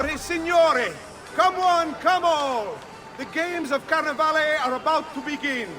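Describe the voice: A man does a put-on character voice at an extremely high pitch, bright and sharp in tone, at a fairly slow pace with ordinary pitch variation, while faint music and faint crowd noise sit in the background.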